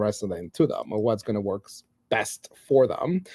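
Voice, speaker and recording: This man has a non-native accent and a dark, mellow tone, recorded with a dry, close sound and no echo. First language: not English. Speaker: edtech leader, former teacher. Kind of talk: casual chat.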